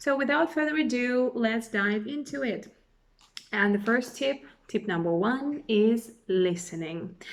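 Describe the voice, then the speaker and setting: Her intonation is lively. This woman speaks with a Russian accent. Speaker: language teacher. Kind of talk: tutorial.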